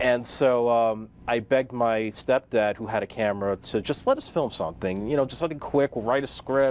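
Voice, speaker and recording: Fairly quick and fairly even in intonation, a man with a medium pitch speaks with a New York accent. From New York City (Staten Island). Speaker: filmmaker. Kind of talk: interview.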